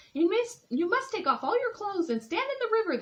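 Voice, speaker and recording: A woman puts on a squeaky character voice at an extremely high pitch. She talks very fast in a raised, projected voice. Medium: read story. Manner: sly, persuasive.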